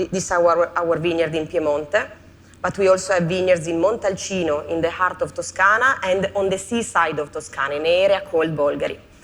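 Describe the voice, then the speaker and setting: A woman speaks at a fairly quick pace with a fairly low pitch and fairly even intonation. Noticeable background noise is present. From Italy (Piedmont). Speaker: winemaker. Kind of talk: conference talk. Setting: stage with audience.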